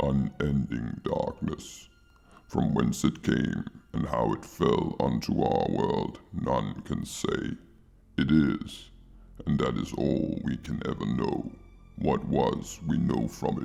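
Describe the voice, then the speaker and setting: Faint music plays in the background as a man in a put-on character voice talks at a fairly slow pace with a very deep, low pitch. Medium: audio drama. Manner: measured, imperious.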